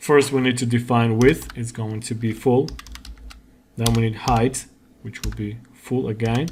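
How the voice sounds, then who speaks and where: Over noticeable background noise, the speech moves at a fairly slow pace with long, frequent pauses. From Georgia (country). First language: Georgian. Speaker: coding tutorial instructor. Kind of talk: tutorial.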